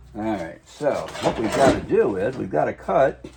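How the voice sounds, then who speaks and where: There is audible room echo and noticeable background noise. The man speaking has a fairly low pitch. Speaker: DIY truck restoration youtuber. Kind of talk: tutorial. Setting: home garage. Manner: soft-spoken; casual, halting with fillers.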